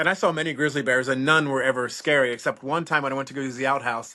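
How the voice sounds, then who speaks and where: A man talks at a very fast pace and medium pitch, his tone bright and sharp. His intonation is fairly even, and the background is quiet. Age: 50s. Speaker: reptile breeder and former park ranger. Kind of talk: casual interview chat.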